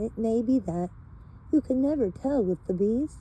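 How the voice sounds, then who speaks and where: A woman puts on a character voice. Her pitch sits fairly high. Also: moderate pace. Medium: read story. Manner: earnest, slow and thoughtful.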